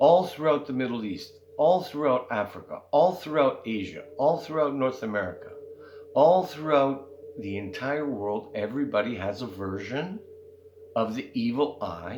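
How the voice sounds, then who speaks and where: A man with a fairly high voice makes very wide pitch swings as he talks. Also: moderate pace. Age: 60s. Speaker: spiritual content creator. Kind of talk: casual monologue. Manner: conversational, frequent fillers.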